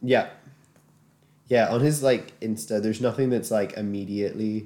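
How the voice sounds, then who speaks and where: A man speaks in a dark, mellow tone. His intonation is fairly even. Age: 20s. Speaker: podcast co-host. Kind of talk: casual chat. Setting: same room, shared microphones.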